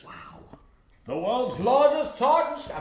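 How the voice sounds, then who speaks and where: A man puts on a character voice, extremely high in pitch, and speaks fairly slowly. A slight echo is audible. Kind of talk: announcer, broadcast.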